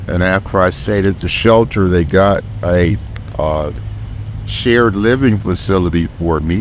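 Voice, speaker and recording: Speaking at a fairly slow pace with an American accent and ordinary pitch variation, this voice comes through noticeable background noise. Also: man, very deep, low pitch for a man. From Los Angeles (South LA, Westchester). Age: 60s. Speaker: street vendor. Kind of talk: street interview.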